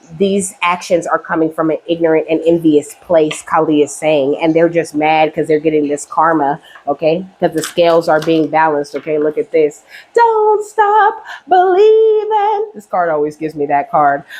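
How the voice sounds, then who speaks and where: A woman talks at a moderate pace as noticeable background noise carries on behind her. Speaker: tarot reader. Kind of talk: tarot reading. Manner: casual, frequent 'okay' fillers.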